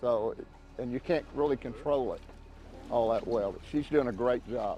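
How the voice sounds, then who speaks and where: A man with a Southern US accent speaks at a moderate pace in a medium pitch, with ordinary pitch variation, big swings in loudness, and music playing behind him. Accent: Southern US (Oklahoma). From Oklahoma, USA. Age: 70s. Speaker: lifelong fisherman. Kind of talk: on-boat fishing instruction. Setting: outdoors.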